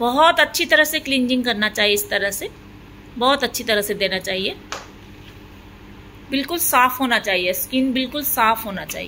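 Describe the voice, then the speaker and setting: A woman with an Assamese accent speaks at a high pitch with lively intonation. Her pauses are long and frequent. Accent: Assamese tone in Hindi. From Assam, India. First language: Assamese (speaking Hindi). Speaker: beauty parlour owner and trainer. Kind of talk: tutorial narration over demonstration. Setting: beauty parlour. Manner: hesitant, many filler sounds.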